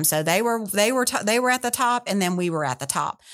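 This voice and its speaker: A woman with a Southern US accent and ordinary pitch variation. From Louisiana. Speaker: tourism executive. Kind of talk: interview. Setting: studio.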